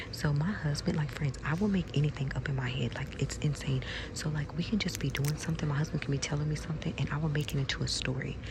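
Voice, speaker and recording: A soft-spoken woman whispers at a very fast pace with hardly any pauses over noticeable background noise. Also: very even loudness. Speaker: ASMR content creator. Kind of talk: public ASMR whispering chat. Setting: inside a craft store. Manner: whispering.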